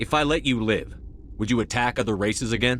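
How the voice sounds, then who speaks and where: Against clear background noise, a man rattles through a put-on character voice at medium pitch and a very fast pace. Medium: video game. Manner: firm, measured.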